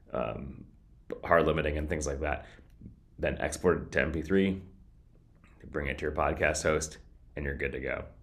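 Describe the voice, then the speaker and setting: With a very deep, low voice and vocal fry, a man talks at a moderate pace in a monotone, flat way, taking long, frequent pauses amid audible room echo. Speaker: podcasting vlogger. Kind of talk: casual tutorial vlog. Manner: occasional stuttering and filler words; casual, conversational.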